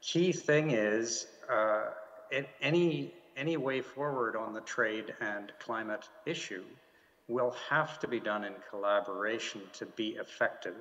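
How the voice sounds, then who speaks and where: A man speaks at a fairly slow pace in a medium-pitched voice with lively intonation, over noticeable background noise. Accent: Canadian. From Canada. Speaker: diplomat. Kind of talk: panel discussion. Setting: video call from home. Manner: halting, many fillers and repeats.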